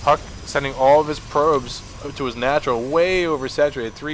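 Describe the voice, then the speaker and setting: Noticeable background noise accompanies a man speaking in a medium pitch. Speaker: game commentator. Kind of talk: live commentary. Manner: monotone.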